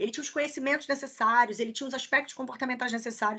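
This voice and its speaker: A woman uses a raised, projected voice. Her tone is high-pitched, bright and sharp. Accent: strong Rio. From Rio de Janeiro, Niterói. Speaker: HR recruiter, career mentor. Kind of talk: online masterclass, casual Q&A. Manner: fast.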